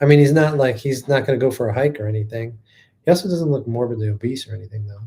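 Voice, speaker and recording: At a very fast pace, a man with a dark, mellow tone and a somewhat breathy voice talks with big swings in loudness. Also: medium pitch for a man, ordinary pitch variation. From northeast Ohio. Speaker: podcast host. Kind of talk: casual chat.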